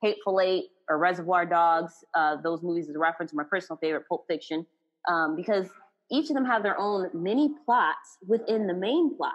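A woman talks in a Texas accent with an animated tone. Her pace is fairly quick. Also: medium pitch for a woman, lively intonation. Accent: Southern US, Texas twang. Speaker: podcast host, singer and actor. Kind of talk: casual chat, podcast film review. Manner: animated, excitable.

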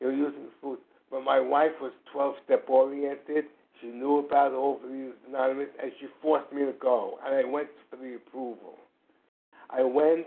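A man with a fairly high voice speaks at a moderate pace in a monotone, flat intonation. His loudness swings widely. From New York City. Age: 60s. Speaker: twelve-step program member sharing his story. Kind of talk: testimony. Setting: phone call. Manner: halting.

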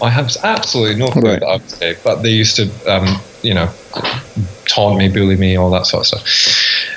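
Noticeable background noise sits behind a man with a Scottish accent. He speaks at a fairly quick pace. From Scotland, rural Fife. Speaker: podcast co-host. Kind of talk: casual chat.

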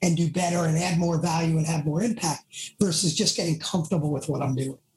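A man speaks with a Bronx accent. His pitch is high. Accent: Bronx New York. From Bronx, New York. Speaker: leadership team coach and author. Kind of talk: interview conversation.

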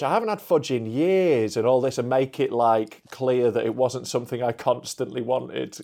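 Talking at a fairly quick pace with a Yorkshire accent, this man has a dark, mellow tone, medium pitch and lively intonation. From Yorkshire, England. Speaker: comedian. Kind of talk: casual chat.

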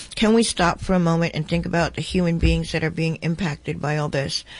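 Fairly low in pitch, a woman speaks in a plain, everyday voice with fairly even intonation. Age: 60s. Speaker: radio host. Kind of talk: radio interview.

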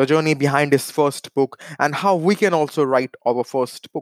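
In a very clean recording with a silent background and a dry, close sound with no echo, a man with a plain, everyday voice and fairly high pitch speaks at a fairly slow pace with ordinary pitch variation. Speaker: podcast host. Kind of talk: interview.

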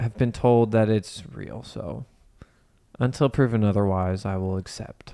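A man speaks with an American accent, taking long, frequent pauses. His loudness swings widely, and the recording is very clean with a silent background. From US Midwest, Ohio (Cincinnati area). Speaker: podcast co-host, auto shop owner. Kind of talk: casual chat.

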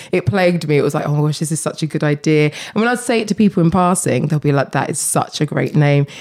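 A woman with a very deep, low pitch talks at a very fast pace with hardly any pauses and lively intonation. Noticeable background noise is present. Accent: Essex. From Essex, England. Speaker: shop owner and entrepreneur. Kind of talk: interview.

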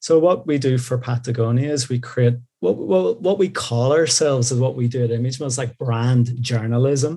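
A man with a Northern Irish accent, medium pitch, ordinary pitch variation, a dark, mellow tone, a somewhat breathy voice, moderate pace and hardly any pauses. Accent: Northern Irish (Belfast). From Northern Ireland, Belfast. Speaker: creative director. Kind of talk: interview conversation.

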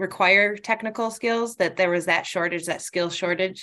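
A woman with an American accent speaks at a medium pitch in a bright, sharp tone. Her pitch varies in an ordinary way, and the background is quiet. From Michigan, Northport near Traverse City. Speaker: human resources manager. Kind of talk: interview. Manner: hesitant, many fillers.

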